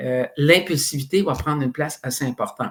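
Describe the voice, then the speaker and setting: A man with a normal speaking voice talks at a fairly high pitch and ordinary pitch variation, recorded very cleanly against a silent background. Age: 60s. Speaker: psychoeducation expert, author. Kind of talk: interview podcast.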